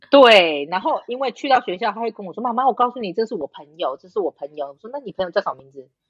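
Speaking very fast with hardly any pauses, a woman with a fairly high pitch and vocal fry makes very wide pitch swings and big swings in loudness. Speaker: podcast guest. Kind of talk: casual chat.

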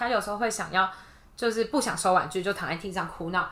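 A woman speaks with an ordinary speaking voice. Her pitch varies in an ordinary way. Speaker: kindergarten teacher. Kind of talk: casual interview.

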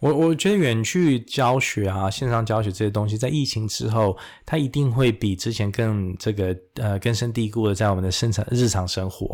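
A man with an ordinary speaking voice, medium pitch and ordinary pitch variation, at a moderate pace, on a very clean recording with a silent background. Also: hardly any pauses. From Taiwan, then Istanbul and US East Coast schooling. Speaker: medical professor and surgeon. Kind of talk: interview. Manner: code-switches between Mandarin and English.

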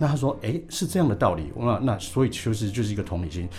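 Very wide pitch swings run through speech delivered at a very fast pace. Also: man. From Taiwan. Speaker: flight attendant turned aviation lecturer. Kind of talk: podcast interview.

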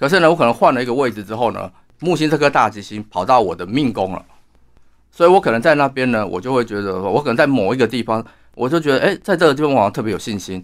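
A man at medium pitch with lively intonation and a very fast pace, in a very clean recording with a silent background. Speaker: astrologer and author. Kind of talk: interview.

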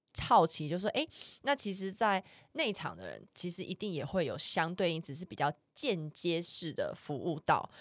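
With lively intonation and big swings in loudness, a woman at medium pitch speaks at a moderate pace in a very clean recording with a silent background and a dry, close sound with no echo. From Taiwan. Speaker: podcast co-host. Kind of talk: casual chat.

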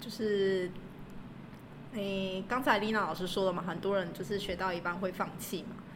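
A woman speaks at a medium pitch with a somewhat breathy voice and fairly even intonation. Long, frequent pauses and audible room echo mark the recording. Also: moderate pace. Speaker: language school receptionist and graduate student. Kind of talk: casual interview.

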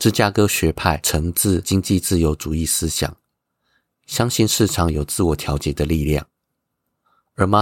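A man with a very deep, low pitch speaks at a fairly slow pace with ordinary pitch variation. The sound is dry and close with no echo, in a very clean recording with a silent background. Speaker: finance news podcaster. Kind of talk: scripted news commentary.

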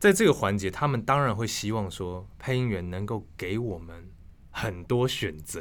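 A man's fairly low voice at a moderate pace, with ordinary pitch variation. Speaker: voice actor, former news anchor. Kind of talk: casual interview. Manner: crisp, precise newsreader articulation.

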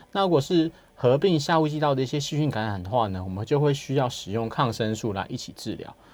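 This man talks at a fairly quick pace with a medium pitch and lively intonation. He has an unremarkable speaking voice. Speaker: hospital clinical pharmacist. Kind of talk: radio health interview. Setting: radio studio.

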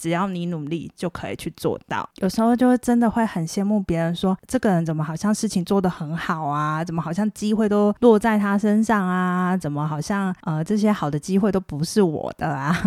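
With hardly any pauses, a woman speaks fairly quickly at a medium pitch with ordinary pitch variation, in a very clean recording with a silent background. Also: dry, close sound with no echo. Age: middle-aged. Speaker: podcast host. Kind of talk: casual monologue. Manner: soft-spoken.

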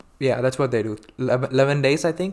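At a moderate pace, a man with an Indian accent talks at a medium pitch with ordinary pitch variation. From India, Hyderabad. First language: Telugu. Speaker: podcast guest. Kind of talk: casual chat.

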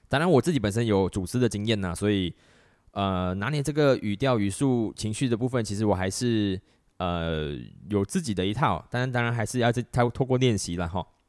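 The recording is very clean, with a silent background. A man speaks at a fairly quick pace and a fairly low pitch, with ordinary pitch variation. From Malaysia. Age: 30s. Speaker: podcast host. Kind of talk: solo monologue podcast. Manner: many filler words.

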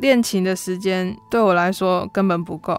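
A woman with a normal speaking voice talks at a moderate pace, her pitch medium with ordinary variation. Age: 20s. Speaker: church pianist. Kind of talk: personal testimony.

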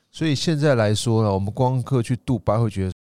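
A man's medium-pitched voice, a normal speaking voice, at a fairly quick pace with ordinary pitch variation, recorded very cleanly against a silent background, dry and close with no echo. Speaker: tour leader and podcast co-host. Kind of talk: casual travel chat.

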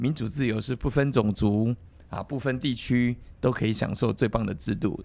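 A man's ordinary speaking voice at medium pitch, with ordinary pitch variation and a moderate pace. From Taiwan. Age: 50s. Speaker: politician, legislator. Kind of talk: casual chat.

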